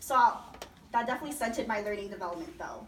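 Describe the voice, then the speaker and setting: Against noticeable background noise and audible room echo, a woman talks at a fairly high pitch with lively intonation. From Las Vegas, Nevada. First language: Chinese. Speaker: program alumna, student speaker. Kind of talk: personal testimony speech. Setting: party event with audience. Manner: loud, projecting.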